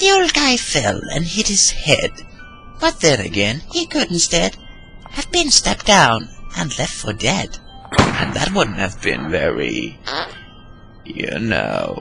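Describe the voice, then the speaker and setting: A put-on character voice at a fairly slow pace, with clear music in the background. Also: man. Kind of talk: narrated dark poem. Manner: childish, sing-song.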